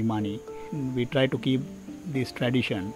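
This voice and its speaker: Fairly quick delivery over clear background music, dry with no echo. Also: man. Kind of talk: interview answer. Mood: calm, earnest. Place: open country.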